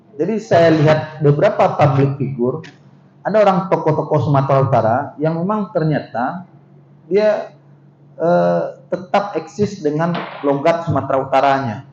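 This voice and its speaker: A man at a moderate pace, fairly high-pitched, with lively intonation and audible room echo. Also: long, frequent pauses. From West Sumatra, Minangkabau (Pariaman). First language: Minangkabau (speaking Indonesian). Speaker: university vice-rector, lecturer. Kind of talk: seminar lecture. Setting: seminar hall with audience. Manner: conversational, interactive with audience.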